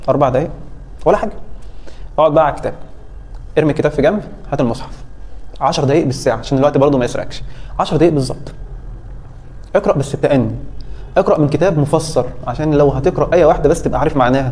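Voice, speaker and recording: Speech comes at a very fast pace, broken by long, frequent pauses, with ordinary pitch variation. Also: man, fairly high pitch for a man. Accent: Egyptian. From Egypt. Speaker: physics teacher. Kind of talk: advice talk to students in class. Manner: animated. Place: classroom. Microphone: phone near.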